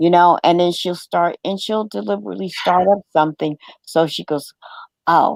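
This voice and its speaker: In an American accent, a woman with a fairly low pitch and lively intonation speaks at a moderate pace, with a dry, close sound and no echo. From New York, Brooklyn. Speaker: live stream host. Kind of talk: casual chat. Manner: loud.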